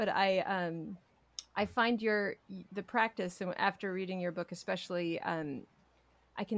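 A woman with an unremarkable speaking voice talks at a fairly low pitch with fairly even intonation, in a very clean, dry, close recording with a silent background and no echo. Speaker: podcast host and meditation teacher. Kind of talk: interview conversation.

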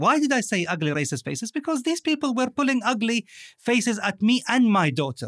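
With an Arabic accent, a man speaks at a high pitch. His voice swings very widely in pitch. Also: dry, close sound with no echo, very clean recording, silent background. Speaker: podcast co-host. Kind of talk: conversational podcast discussion. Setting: recording studio.

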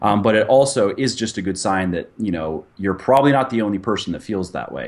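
A man speaks in a normal speaking voice, fairly low in pitch, with ordinary pitch variation. The background is quiet. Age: 30s. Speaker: fitness author and supplement company owner. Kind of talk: interview.

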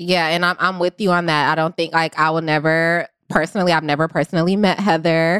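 On a very clean recording with a silent background and a dry, close sound with no echo, a woman speaks fairly quickly with hardly any pauses, very even loudness and a fairly low, monotone voice with flat intonation. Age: 20s. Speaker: podcast producer. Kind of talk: casual chat.

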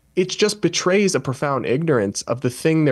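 Here is a man with an unremarkable speaking voice. He talks at a fairly quick pace with lively intonation. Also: quiet background. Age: 20s. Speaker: journalist and podcaster. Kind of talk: panel discussion.

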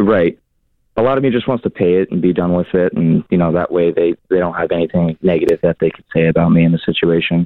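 A man with an American accent, very deep and low in pitch, at a very fast pace with ordinary pitch variation. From Seattle. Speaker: caller. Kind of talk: casual chat. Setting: phone call.

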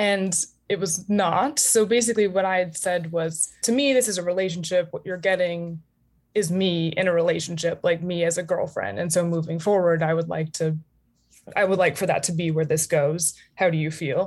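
A woman with an American accent speaks at a moderate pace in a fairly low pitch. Her pitch varies in an ordinary way, and she has a normal speaking voice. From United States. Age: 20s. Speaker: caller seeking relationship advice. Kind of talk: casual chat.

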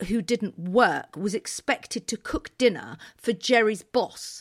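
With a British accent, a woman speaks at a fairly high pitch in a very clean recording with a silent background. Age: 50s. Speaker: interiors podcast co-host. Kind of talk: casual chat.

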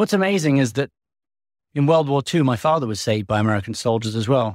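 A man with an English accent speaks very fast at a medium pitch, with ordinary pitch variation. The sound is dry and close with no echo, in a very clean recording with a silent background. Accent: English-sounding. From US. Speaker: podcast host and war correspondent. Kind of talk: scripted narration.

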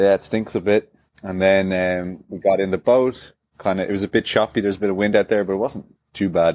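Dry and close with no echo, a man's fairly low voice runs at a fairly quick pace in a monotone, flat delivery. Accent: Dublin. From Ireland, Dublin. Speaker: CrossFit athlete. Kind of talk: casual interview. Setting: video call from hotel room.

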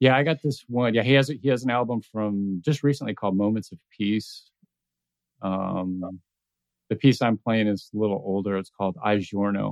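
A man with an unremarkable speaking voice, fairly low in pitch, with ordinary pitch variation and a moderate pace. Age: 50s. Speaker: podcast host. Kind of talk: casual chat.

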